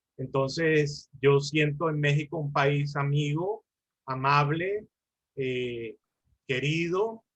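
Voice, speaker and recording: At a very slow pace, a man with a fairly high pitch and a somewhat breathy voice speaks with ordinary pitch variation. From Colombia. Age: 60s. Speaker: lawyer and mediator. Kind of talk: lecture.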